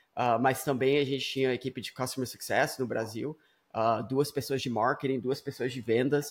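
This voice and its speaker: A man with a medium pitch speaks at a moderate pace in a flat monotone, on a very clean recording with a silent background. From Brazil, Espírito Santo; US from about age 8-9. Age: 30s. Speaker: startup founder and CEO. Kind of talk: casual chat. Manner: hesitant, frequent fillers and repetitions.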